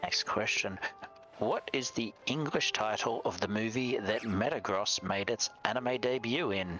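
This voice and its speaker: Over music in the background, a man with an Australian accent and medium pitch speaks at a fairly slow pace, with ordinary pitch variation and very even loudness. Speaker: streamer, quiz host. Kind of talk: quiz hosting on a charity livestream.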